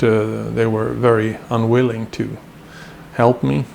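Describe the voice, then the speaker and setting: Against noticeable background noise, a man with a Swedish accent speaks at a very slow pace, his medium pitch varying in an ordinary way. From Sweden. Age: 60s. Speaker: violin maker. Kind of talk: tutorial. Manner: halting, many fillers.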